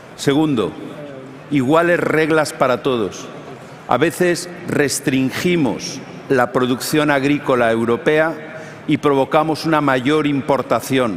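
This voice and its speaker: A man's fairly high voice at a moderate pace, with ordinary pitch variation, very even loudness and noticeable background noise. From Spain. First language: Spanish. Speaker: politician. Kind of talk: panel discussion.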